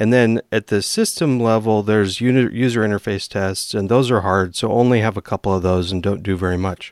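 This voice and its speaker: A man with an American accent and a normal speaking voice speaks at a fairly quick pace and fairly low pitch with fairly even intonation, the recording very clean with a silent background and a dry, close sound with no echo. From eastern Washington, US. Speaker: software engineer and podcast host. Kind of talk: casual chat.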